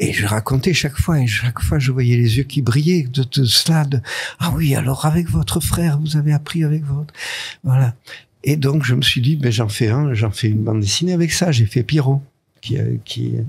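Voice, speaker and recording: A man of medium pitch speaks at a moderate pace. His voice is somewhat breathy. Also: ordinary pitch variation. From southern France, Nice. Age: 80s+. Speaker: comics author and artist. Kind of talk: interview. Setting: studio. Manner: halting.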